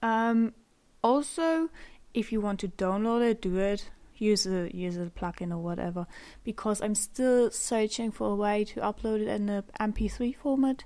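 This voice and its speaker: A woman's fairly high voice with a dark, mellow tone and a German accent, ordinary pitch variation, a moderate pace, and a very clean recording over a silent background. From Germany. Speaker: podcaster. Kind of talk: unscripted solo podcast monologue. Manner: halting, many pauses and fillers; rambling.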